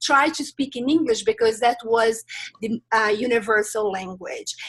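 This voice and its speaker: This woman speaks with a Brazilian Portuguese accent. Her pitch variation is ordinary. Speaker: life transitions coach. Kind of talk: interview. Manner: hesitant, many filler sounds.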